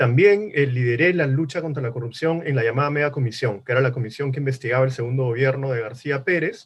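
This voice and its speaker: At a very fast pace, a man talks with hardly any pauses and a somewhat breathy sound. His pitch is medium, with ordinary variation. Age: 40s. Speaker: politician. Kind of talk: political debate. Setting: virtual debate.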